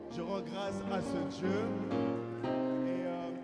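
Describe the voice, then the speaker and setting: Noticeable noise hums behind the recording. A man talks amid audible room echo. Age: 20s. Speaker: preacher. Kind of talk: sermon. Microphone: mic held poorly.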